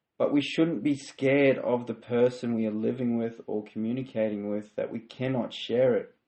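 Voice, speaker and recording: Speaking at a moderate pace, a man with an Australian accent uses a medium pitch and fairly even intonation. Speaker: podcast host. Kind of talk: faith-based self-help monologue. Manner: halting, self-correcting.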